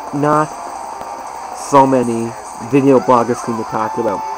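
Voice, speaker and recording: Medium-pitched speech from a man amid noticeable background noise. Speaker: conspiracy vlogger. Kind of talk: casual talk to camera.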